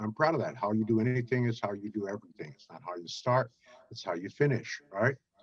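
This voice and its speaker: In a New York accent, a man talks very fast. His pitch varies in an ordinary way. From Brooklyn, New York. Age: 70s. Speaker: business networking expert. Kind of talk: interview. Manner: halting with many fillers.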